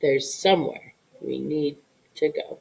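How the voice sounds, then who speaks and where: A woman puts on a character voice and speaks at a moderate pace. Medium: read story. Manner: tender, earnest.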